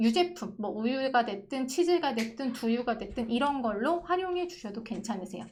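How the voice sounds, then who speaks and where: Very wide pitch swings at a moderate pace. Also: woman. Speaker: pharmacist. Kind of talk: online lecture with viewer Q&A. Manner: conversational, explanatory.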